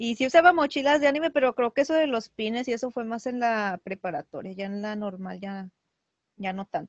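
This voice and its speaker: At a fairly quick pace, a woman with a plain, everyday voice speaks in a fairly high pitch, her intonation lively and her loudness swinging widely. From Mexico. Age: 30s. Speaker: preschool teacher and cosplayer. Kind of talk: casual interview chat.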